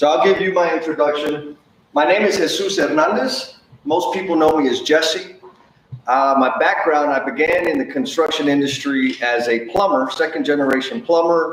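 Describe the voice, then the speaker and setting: An American accent at very even loudness, with audible room echo and noticeable background noise. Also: man, fairly high pitch for a man, ordinary pitch variation, moderate pace. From Texas, San Antonio. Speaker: construction improvement consultant, former plumber. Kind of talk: live stream presentation. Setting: live stream. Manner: animated, casual.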